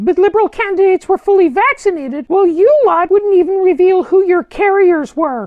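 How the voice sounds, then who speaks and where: Put on as a character voice, the delivery is extremely high in pitch, fairly quick, and has hardly any pauses. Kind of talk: satirical political interview. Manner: sarcastic, combative.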